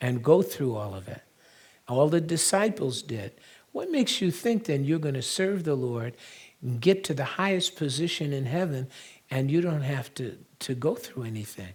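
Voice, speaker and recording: At a moderate pace, a man with a fairly high pitch speaks somewhat breathily, his pitch swinging very widely. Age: 70s. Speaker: pastor and prophecy teacher. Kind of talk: sermon.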